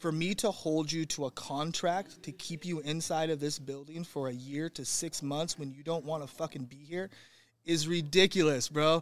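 A man with an American accent and a plain, everyday voice, fairly high-pitched, at a moderate pace, with fairly even intonation and big swings in loudness. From Northern California. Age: 40s. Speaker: gym founder and owner. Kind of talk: casual interview.

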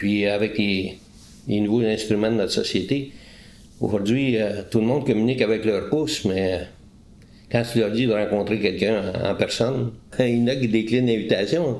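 Audible room echo surrounds a man's voice. He speaks at a fairly slow pace with ordinary pitch variation. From Quebec, Eastern Townships. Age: 60s. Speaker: retired police interrogator. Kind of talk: interview. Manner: halting.

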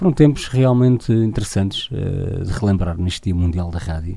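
This man has a dark, mellow tone and ordinary pitch variation. His pace is moderate. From Portugal, Torres Novas. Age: 40s. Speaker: radio broadcaster. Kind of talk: monologue. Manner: halting.

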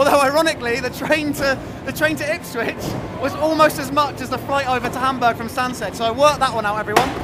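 A man's raised, projected voice at an extremely high pitch, very fast with fairly even intonation, amid noticeable background noise. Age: 20s. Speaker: amateur skateboarder. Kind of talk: casual interview. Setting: outdoors at skate park event.

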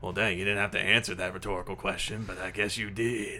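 A raspy put-on character voice from a man, fairly low in pitch and very fast, over clear background noise. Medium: actual play. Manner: grumbling, reminiscing, wry.

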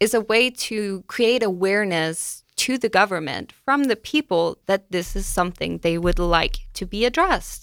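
A woman speaks with a Danish accent at a medium pitch and moderate pace. The recording is very clean, with a silent background. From Denmark. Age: 20s. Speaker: university student. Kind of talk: radio interview. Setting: radio studio.

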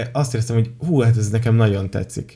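Somewhat breathy, the voice carries a dark, mellow tone. Its pace is fairly quick. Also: man. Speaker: podcast host. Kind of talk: casual chat.

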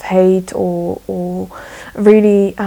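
With a Slovak accent, a woman speaks in a monotone, flat intonation. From Slovakia. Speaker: journalist. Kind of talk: interview. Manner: halting.

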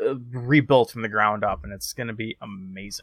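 Recorded very cleanly with a silent background and a dry, close sound with no echo, a man with an unremarkable speaking voice talks fairly quickly with ordinary pitch variation. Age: 30s. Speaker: podcast co-host. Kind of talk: casual chat.

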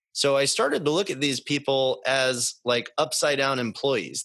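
A man with an American accent speaks at a fairly slow pace in a fairly high pitch, using a plain, everyday voice. The background is quiet. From Boston, US. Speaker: business consultant. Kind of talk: casual interview.

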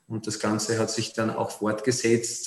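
Here a man speaks amid noticeable background noise. Audible room echo surrounds his voice. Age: 30s. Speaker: city councillor and politician. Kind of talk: interview.

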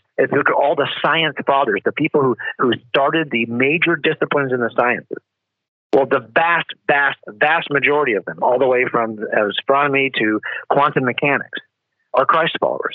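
Here is an ordinary speaking voice. The pitch shows ordinary variation. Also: man, fairly high pitch for a man. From United States. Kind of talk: interview.

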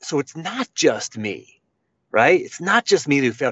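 At a fairly slow pace, a man with an unremarkable speaking voice talks at a fairly high pitch. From Western Pennsylvania, Pittsburgh area. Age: 40s. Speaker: coach and speaker, former college wrestler. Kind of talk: interview.

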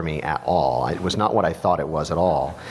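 A man talks over noticeable background noise. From US Midwest, Missouri. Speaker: film and TV composer. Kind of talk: panel talk at a luncheon. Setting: jazz club stage with audience.

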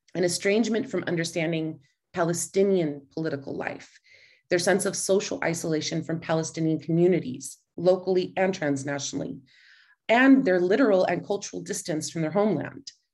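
Over a quiet background, a woman with a normal speaking voice talks fairly quickly at a fairly low pitch, with ordinary pitch variation. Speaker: professor. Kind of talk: academic panel presentation. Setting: video call.

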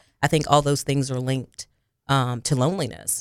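A woman's very deep, low voice with fairly even intonation, recorded dry and close with no echo. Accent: Southern US. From Arkansas, near Jonesboro. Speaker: counselor. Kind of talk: interview. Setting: studio.

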